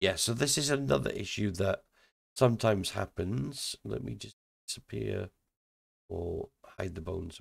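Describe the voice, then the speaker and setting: The sound is dry and close with no echo, and the speaker moves at a moderate pace with vocal fry, big swings in loudness, and long, frequent pauses. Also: man, fairly low pitch for a man. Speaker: indie game developer. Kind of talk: software tutorial. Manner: casual, thinking aloud.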